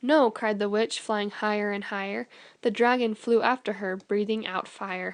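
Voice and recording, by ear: The speaker reads aloud in a natural voice. Intonation stays fairly even throughout.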